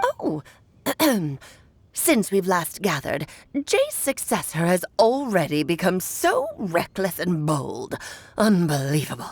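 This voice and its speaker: A woman puts on a character voice at a medium pitch. She goes at a fairly slow pace with long, frequent pauses. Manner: disapproving, scolding.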